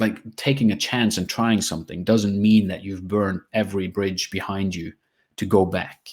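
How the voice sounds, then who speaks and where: Recorded very cleanly with a silent background, a man speaks in a normal speaking voice with fairly low pitch and fairly even intonation at a moderate pace. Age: 40s. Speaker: tech company CEO. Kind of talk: interview.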